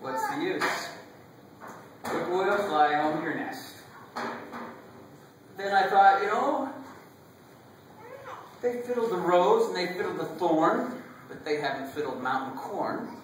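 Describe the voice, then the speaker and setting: Over noticeable background noise, a man talks at a fairly slow pace with lively intonation and long, frequent pauses. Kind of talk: poetry reading. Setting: family reunion.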